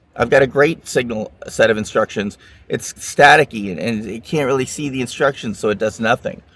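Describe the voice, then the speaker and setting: A man with an unremarkable speaking voice talks at a fairly quick pace and a medium pitch, with ordinary pitch variation. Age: 60s. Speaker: regenerative medicine expert. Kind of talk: interview.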